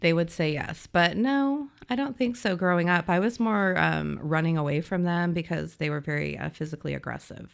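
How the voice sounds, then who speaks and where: A woman with an American accent has a plain, everyday voice at a fairly low pitch, with lively intonation and hardly any pauses. Her moderate pace comes through a very clean recording with a silent background. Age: 40s. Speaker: education administrator. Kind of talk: casual chat.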